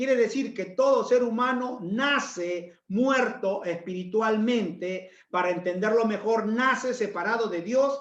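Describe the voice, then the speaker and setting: Audible room echo surrounds this man's voice. His pitch is extremely high for a man, and his intonation is lively. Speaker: pastor. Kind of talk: sermon.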